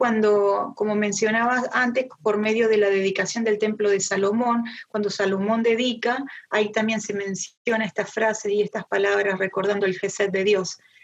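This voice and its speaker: With an Argentine accent, a woman speaks at a fairly high pitch and moderate pace, with fairly even intonation and very even loudness. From Argentina. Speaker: Bible teacher. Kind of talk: Bible study talk. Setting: video call.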